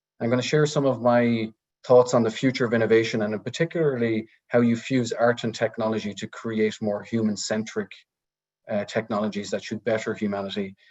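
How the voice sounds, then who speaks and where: A man with an Irish accent, medium pitch, fairly even intonation, and a fairly quick pace. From rural Ireland. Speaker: technology research director and speaker. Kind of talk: webinar talk. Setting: video call.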